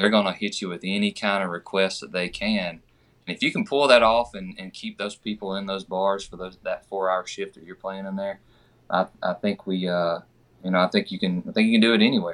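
A man talks with an American accent and fairly low pitch. His pace is fairly quick, with fairly even intonation. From Georgia (US). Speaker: country singer. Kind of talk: casual chat.

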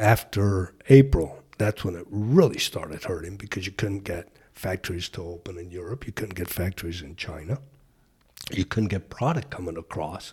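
A somewhat breathy man's voice, very deep and low, at a moderate pace with ordinary pitch variation and big swings in loudness. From Colombia. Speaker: toy shop owner. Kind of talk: casual interview.

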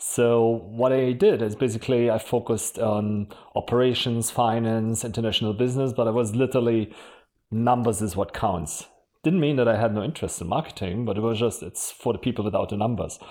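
With a German accent, a man talks at a fairly quick pace in a medium-pitched, dark, mellow tone with fairly even intonation, on a very clean recording with a silent background. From Germany. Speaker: marketing executive. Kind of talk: podcast interview.

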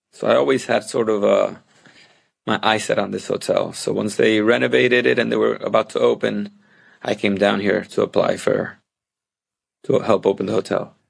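A man speaks in a Puerto Rican accent. His speech has long, frequent pauses. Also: moderate pace. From Puerto Rico. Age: 40s. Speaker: hotel operations director. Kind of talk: interview. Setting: video call.

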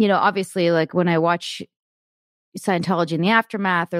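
A woman with a plain, everyday voice at a medium pitch, at a fairly quick pace in a dry, close sound with no echo. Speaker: podcast host. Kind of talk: casual interview chat.

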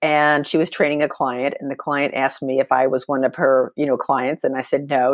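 In a dry, close sound with no echo, a woman with an American accent speaks at a fairly quick pace with a very deep, low pitch and fairly even intonation. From Texas, with childhood years in Germany. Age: 60s. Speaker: fitness athlete and personal trainer. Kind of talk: interview.

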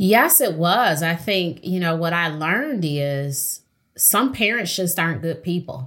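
A woman with an American accent and a plain, everyday voice speaks fairly slowly in a fairly low pitch with lively intonation, recorded very cleanly against a silent background. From Detroit. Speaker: therapist and author. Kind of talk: interview.

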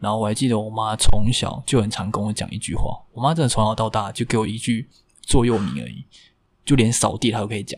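Very fast speech from a man with a fairly low pitch, fairly even intonation and vocal fry. The recording is very clean, with a silent background. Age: 20s. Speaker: bartender. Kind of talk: personal life story interview.

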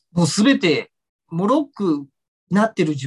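A man speaks with very wide swings in pitch, recorded dry and close with no echo. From Tokyo, Japan. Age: 40s. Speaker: ballet dancer and choreographer. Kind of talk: interview. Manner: hesitant with many fillers.

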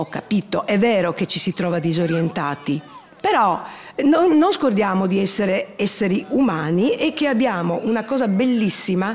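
A woman talks at a fairly slow pace with lively intonation. Noticeable background noise runs underneath. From Trieste, Italy. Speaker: grandmother and course participant. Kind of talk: interview testimony. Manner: halting.

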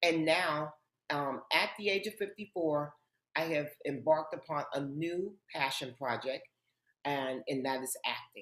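With an American accent, a woman speaks at a very deep, low pitch and a fairly slow pace. Her pitch varies in an ordinary way. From Harlem, New York City. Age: 50s. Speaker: author and TV host. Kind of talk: interview.

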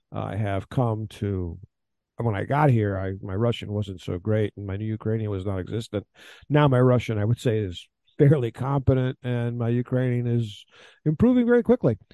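A man in an American accent speaks at a moderate pace and medium pitch, in an ordinary speaking voice. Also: ordinary pitch variation. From Texas, Houston. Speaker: war correspondent. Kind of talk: interview.

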